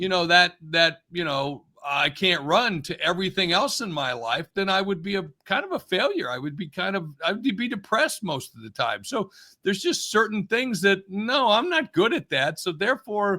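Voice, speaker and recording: A man's raised, projected voice, high in pitch with a bright, sharp tone, swings very widely in pitch at a moderate pace. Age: 60s. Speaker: business executive and author. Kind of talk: interview conversation. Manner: halting, many false starts.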